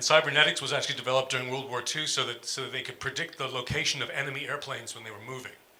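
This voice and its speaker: A man with an American accent talks at a very fast pace, hardly pausing at all. His intonation is monotone and flat, with noticeable background noise behind him. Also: medium pitch for a man, big swings in loudness. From US, New York. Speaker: music professor. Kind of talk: panel talk with slides.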